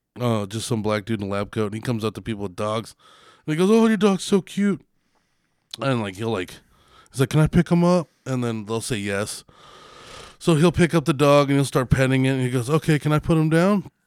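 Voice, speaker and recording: A man's voice with very wide pitch swings and long, frequent pauses, dry and close with no echo, on a very clean recording against a silent background. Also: medium pitch for a man, fairly quick pace. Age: 30s. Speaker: podcast co-host. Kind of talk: casual chat. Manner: animated.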